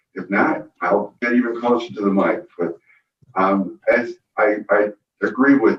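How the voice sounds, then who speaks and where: With ordinary pitch variation, a man is speaking. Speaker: county supervisor. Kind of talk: public meeting remarks. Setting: boardroom meeting with remote attendees on video call. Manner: loud.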